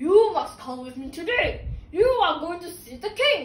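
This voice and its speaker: A woman's put-on character voice, extremely high and swinging very widely in pitch, at a moderate pace with audible echo. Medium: solo performance. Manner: confident, persuasive.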